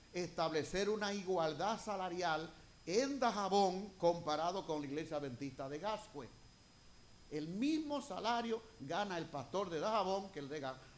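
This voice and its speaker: A man with a high pitch and lively intonation speaks at a fairly slow pace, with audible room echo. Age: 60s. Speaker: retired pastor. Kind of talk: sermon. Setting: church.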